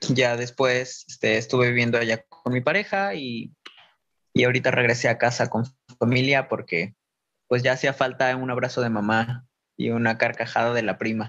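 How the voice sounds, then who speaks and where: At a moderate pace and medium pitch, a man uses a plain, everyday voice with ordinary pitch variation. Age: 20s. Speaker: dancer and performer. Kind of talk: interview.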